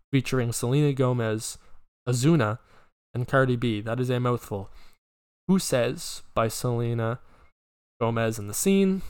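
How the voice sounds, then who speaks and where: The recording is very clean, with a silent background. A man talks at a fairly slow pace in a medium pitch with ordinary variation. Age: young. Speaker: podcast host. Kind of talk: casual solo chat. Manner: filler-heavy, hesitant.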